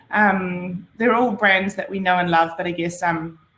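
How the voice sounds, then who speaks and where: A woman's bright, sharp voice with a New Zealand accent and audible room echo. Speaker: branding and design presenter; presenter. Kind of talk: workshop presentation. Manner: speaking slower and louder. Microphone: video call.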